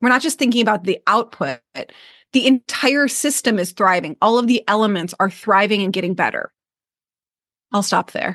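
In an unremarkable speaking voice, a woman with an American accent talks at a moderate pace with a fairly high pitch and ordinary pitch variation, recorded dry and close with no echo over a quiet background. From US Midwest, Michigan. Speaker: business coach and author. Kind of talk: casual interview chat. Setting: remote online call.

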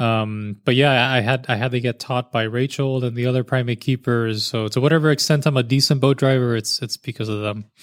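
A man with a normal speaking voice talks at a fairly quick pace, with hardly any pauses, at a medium pitch and fairly even intonation. The sound is dry and close with no echo, and the recording is very clean over a silent background. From US South, Miami, Florida. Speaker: zookeeper. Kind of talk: casual interview chat. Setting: on a boat at a zoo.

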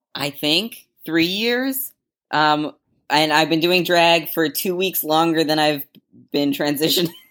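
Recorded very cleanly against a silent background, a woman with an American accent speaks at a fairly slow pace in a very deep, low voice with ordinary pitch variation. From Massachusetts, near Salem. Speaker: drag performer. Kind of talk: casual interview chat. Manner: halting, many fillers.

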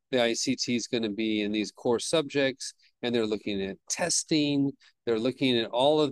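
The man has an ordinary speaking voice, medium in pitch with ordinary pitch variation, delivered at a fairly slow pace in a dry, close sound with no echo. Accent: American. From Southern California. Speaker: teacher and adjunct professor. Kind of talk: podcast interview.

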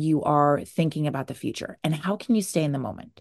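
Against a quiet background, a woman speaks in an animated tone at a fairly quick pace, her pitch very deep and low, with ordinary pitch variation. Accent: American. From New Jersey. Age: 30s. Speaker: podcast host, binge eating coach. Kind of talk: casual solo podcast talk.

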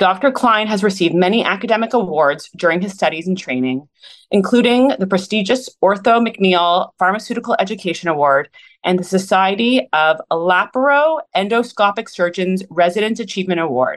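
With lively intonation and an ordinary speaking voice, a woman talks at a medium pitch and a moderate pace. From Canada, Toronto. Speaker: podcast host, clinic wellness team. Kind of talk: reading aloud; casual interview.

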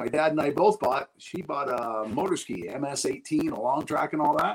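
A man with a Canadian accent talks at a fairly quick pace, with vocal fry. His intonation is lively. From Ontario, Canada. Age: 60s. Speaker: oil company sales rep. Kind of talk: casual interview chat.

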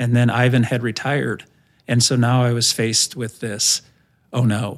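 On a very clean recording with a silent background, a man with a Midwestern American accent speaks at a medium pitch in a monotone, flat intonation. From Indiana, US Midwest. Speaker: senior minister, pastor. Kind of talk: testimony interview.

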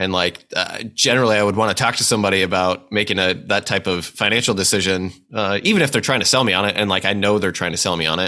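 With a Midwestern US accent, a man talks at a very fast pace in a bright, sharp tone, his pitch fairly low, his loudness very even and hardly any pauses. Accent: US Midwest. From central Nebraska (Hastings). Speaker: insurance executive. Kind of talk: interview.

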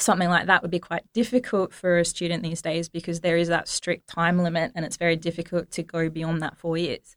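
A woman with an Australian accent talks at a fairly quick pace, with hardly any pauses, in a fairly low voice with fairly even intonation. The recording is very clean and dry, with a silent background and no echo. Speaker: engineering academic. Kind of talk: interview.

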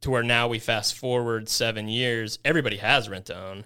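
Speaking with a Midwestern American accent, a man has a bright, sharp tone. His pitch is medium. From Kansas, US. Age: 30s. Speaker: rent-to-own business owner. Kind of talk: casual interview chat.

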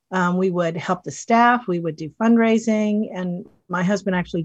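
A woman with an American accent speaks at a moderate pace in a somewhat breathy, medium-pitched voice with ordinary pitch variation. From US South, western North Carolina mountains. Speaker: animal rescue nonprofit volunteer. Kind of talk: interview.

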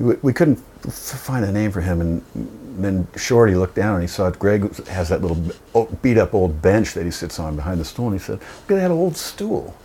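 Noticeable background noise beneath lively intonation. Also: man, fairly low pitch for a man, moderate pace. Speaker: guitarist and singer. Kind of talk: casual interview chat. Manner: casual, swears often.

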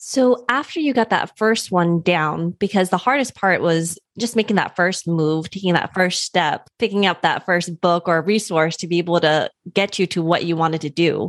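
In a very clean recording with a silent background, a woman with a normal speaking voice talks at a moderate pace with fairly low pitch and ordinary pitch variation. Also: dry, close sound with no echo. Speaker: podcast host. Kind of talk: interview.

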